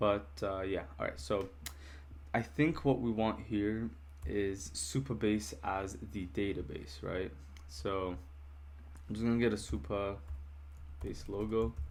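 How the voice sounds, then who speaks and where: A somewhat breathy voice with lively intonation at a fairly slow pace, broken by long, frequent pauses, in audible room echo. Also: man, very deep, low pitch for a man. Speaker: software developer vlogger. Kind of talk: casual vlog narration. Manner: hesitant, many fillers.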